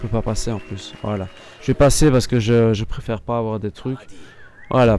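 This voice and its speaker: Over music in the background, a man talks at a moderate pace in a medium pitch with fairly even intonation. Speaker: gaming youtuber. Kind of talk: let's play commentary. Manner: halting.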